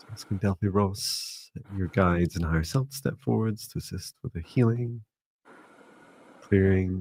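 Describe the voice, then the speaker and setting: A man speaks in a soothing, somewhat breathy tone with a fairly low pitch. The sound is dry and close with no echo. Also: ordinary pitch variation, fairly slow pace, big swings in loudness. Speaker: psychic mentor and meditation teacher. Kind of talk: live-stream psychic reading. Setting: live stream.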